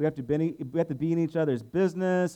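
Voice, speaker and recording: At a very fast pace, a man with a fairly high pitch talks with fairly even intonation. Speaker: pastor. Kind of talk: sermon. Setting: church.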